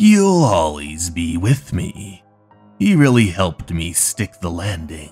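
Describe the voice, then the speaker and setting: Over faint background music, a man talks in a calm tone at a fairly slow pace. His pitch is very deep and low. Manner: calm, reflective, quietly satisfied.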